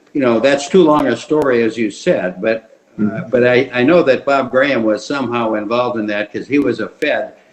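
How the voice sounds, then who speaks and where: A man's ordinary speaking voice, medium in pitch, with ordinary pitch variation at a fairly quick pace. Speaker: family physician, retired academy staff. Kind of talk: oral history interview questions.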